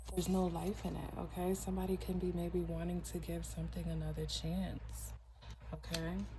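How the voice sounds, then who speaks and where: A soft-spoken woman's very deep, low voice, monotone and flat, at a moderate pace, with audible room echo and noticeable background noise. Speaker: tarot reader. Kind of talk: tarot reading.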